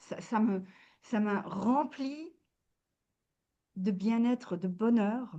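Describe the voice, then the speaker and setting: A woman speaks very slowly in a fairly high, somewhat breathy voice with a dark, mellow tone. Her pitch varies in an ordinary way, and her pauses are long and frequent. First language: not French (speaking French). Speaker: wellness coach. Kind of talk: interview. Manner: halting, many hesitations.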